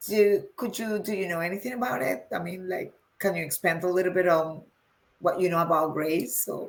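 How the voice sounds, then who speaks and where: Speaking with a Spanish accent, a woman keeps a fairly quick pace and ordinary pitch variation. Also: medium pitch for a woman. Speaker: interviewer. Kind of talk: interview. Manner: halting.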